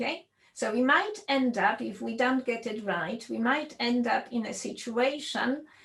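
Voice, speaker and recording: A woman with a Polish accent, a fairly high pitch, ordinary pitch variation and vocal fry. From Poland. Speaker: computer science professor. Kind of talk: lecture.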